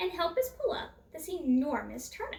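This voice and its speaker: Putting on a character voice, a woman speaks at a moderate pace with an extremely high pitch and very wide pitch swings. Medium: read story.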